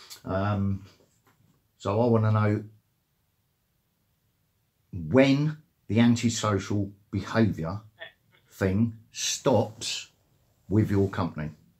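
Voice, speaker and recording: Speaking at a very slow pace with long, frequent pauses, a man with a fairly low pitch sounds somewhat breathy. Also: ordinary pitch variation. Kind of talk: phone complaint conversation. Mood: aggrieved, hesitant complaint.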